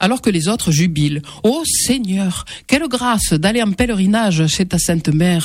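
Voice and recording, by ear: Lively intonation in a natural voice reading aloud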